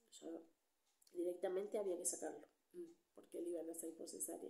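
A woman speaks in a soft-spoken manner. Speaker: ASMR creator. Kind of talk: soft-spoken ASMR storytime. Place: home room. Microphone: studio mic.

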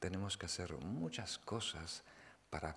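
A man whispering at a very slow pace. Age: 40s. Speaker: Buddhist meditation teacher. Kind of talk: dharma talk. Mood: calm, explanatory. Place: hall. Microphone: podium.

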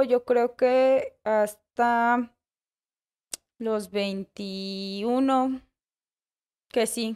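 This woman's intonation stays fairly even, and the background is quiet. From Mexico City. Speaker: bakery co-owner. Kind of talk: casual interview. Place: cafe. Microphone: studio mic.

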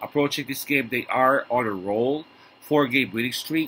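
Moderate pace from a man with a bright, sharp tone, medium pitch, and ordinary pitch variation. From Philippines. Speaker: sports betting tipster. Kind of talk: vlog monologue. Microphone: webcam.

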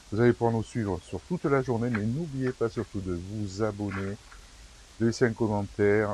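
A man's dark, mellow voice with ordinary pitch variation comes through dry with no echo, over light background noise. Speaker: van-life vlogger. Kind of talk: casual vlog chat. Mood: relaxed, cheerful. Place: street. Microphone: lapel.

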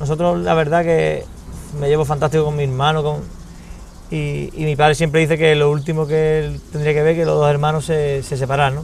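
With light background noise behind him, a man talks fairly quickly in a fairly high voice with fairly even intonation. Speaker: restaurant owner. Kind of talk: interview. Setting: at a restaurant. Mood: warm, reflective. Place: garden. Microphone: lapel.

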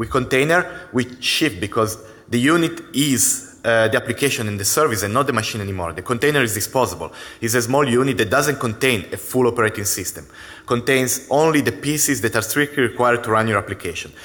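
A man's bright, sharp tone comes through at a very fast pace with ordinary pitch variation. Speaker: conference presenter. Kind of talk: technical conference talk. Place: stage.

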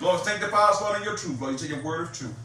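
A man's voice carries audible room echo. Light background noise can be heard too. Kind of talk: sermon. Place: home room.

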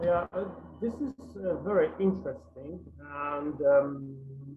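Over noticeable background noise, a man talks in a fairly high voice with very wide swings in pitch. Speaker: academic researcher presenting; presenter. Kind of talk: conference presentation and Q&A. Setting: video call while travelling. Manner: halting, many fillers. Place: home room. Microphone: internet connection troubles; webcam.

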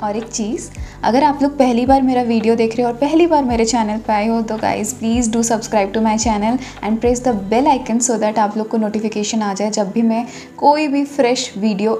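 Faint music plays in the background as a woman speaks. Her pace is moderate and her intonation fairly even. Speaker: travel vlogger. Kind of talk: casual vlog chat. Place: home room. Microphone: phone near.

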